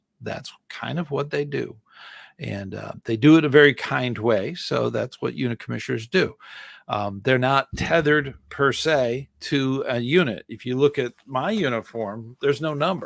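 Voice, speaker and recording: A man has a plain, everyday voice at medium pitch, with ordinary pitch variation and a moderate pace. The recording is very clean, with a silent background and a dry, close sound with no echo. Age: 60s. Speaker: scouting volunteer and live-stream host. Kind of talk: live stream Q&A answering chat. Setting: solo live stream. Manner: casual, with many fillers and restarts.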